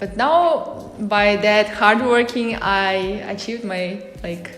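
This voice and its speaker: With music in the background and audible room echo, someone with a non-native accent speaks at a very slow pace. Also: woman. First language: not English. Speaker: interviewer, channel host. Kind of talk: casual interview. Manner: halting, many fillers.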